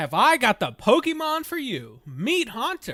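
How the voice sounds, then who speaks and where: A man does a put-on character voice at an extremely high pitch. He speaks at a moderate pace. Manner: salesman pitch.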